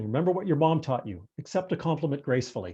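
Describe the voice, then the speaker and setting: The man's fairly high voice has a dark, mellow tone and very wide pitch swings. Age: 60s. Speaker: retired museum and archives professional. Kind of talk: presentation on a video call. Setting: video call. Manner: hesitant, many fillers and repetitions.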